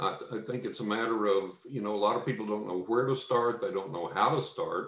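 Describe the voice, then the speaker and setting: Speaking with a West Texas accent, a man talks at a fairly quick pace with hardly any pauses. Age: 60s. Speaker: psychic medium and author. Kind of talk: podcast interview.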